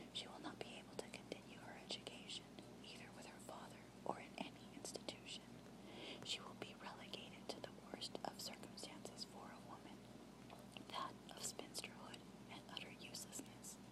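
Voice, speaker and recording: A woman whispers. Noticeable background noise runs underneath. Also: moderate pace. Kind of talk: novel reading. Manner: whispered.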